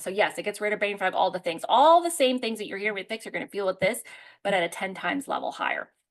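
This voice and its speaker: Against a quiet background, a woman talks in an animated tone at a medium pitch with ordinary pitch variation. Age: 40s. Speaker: herbalist and product presenter. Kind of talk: product presentation with live Q&A. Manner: fast.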